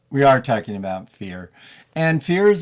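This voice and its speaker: A man's fairly high, plain, everyday voice at a moderate pace, in a very clean recording with a silent background. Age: 60s. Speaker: podcast co-host. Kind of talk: casual chat.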